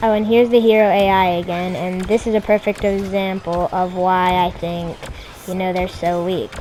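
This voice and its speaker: Music runs in the background as the speaker goes at a fairly slow pace in a monotone, flat intonation. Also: woman. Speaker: gaming YouTuber. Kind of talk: gameplay commentary. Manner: hesitant, many fillers. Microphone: bad audio quality.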